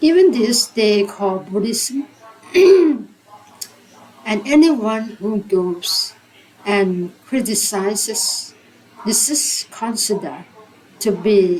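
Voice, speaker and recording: A very slow delivery in a non-native accent, with ordinary pitch variation and noticeable background noise. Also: woman. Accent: non-native, own. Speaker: English learner. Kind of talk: reading aloud of a religious book. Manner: hesitant, repeats words.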